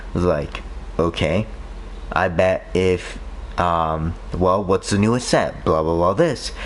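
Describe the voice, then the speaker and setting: A man at a very slow pace with long, frequent pauses and very even loudness, noticeable background noise behind him. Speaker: gaming streamer. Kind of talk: casual chat. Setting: live stream.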